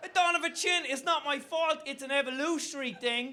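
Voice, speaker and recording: A man talks at a moderate pace in a raised, projected voice. His pitch is extremely high, with ordinary pitch variation. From Ireland. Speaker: comedian. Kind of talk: stand-up. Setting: stage with audience.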